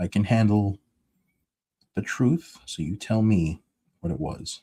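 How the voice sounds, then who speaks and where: Mumbling at a fairly slow pace, a man with a fairly low pitch and a somewhat breathy, dark, mellow tone uses lively intonation, recorded with a dry, close sound and no echo. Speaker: comic book artist streaming his drawing. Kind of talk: casual live stream chat. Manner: mumbling to himself.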